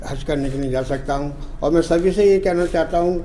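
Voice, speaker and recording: Audible room echo surrounds a man's voice. Noticeable background noise is present too. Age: 70s. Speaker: pilgrim. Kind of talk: interview comment.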